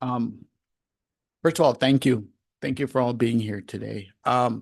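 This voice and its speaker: A man talks at a fairly slow pace, with medium pitch and fairly even intonation. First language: Gujarati. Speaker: school board trustee. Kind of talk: public meeting remarks.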